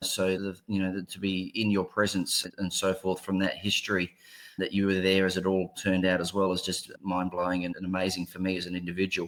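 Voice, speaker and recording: In a very clean recording with a silent background, a man with an Australian accent speaks fairly quickly in a very deep, low pitch and a monotone, flat intonation. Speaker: ear, nose and throat surgeon. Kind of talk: panel discussion.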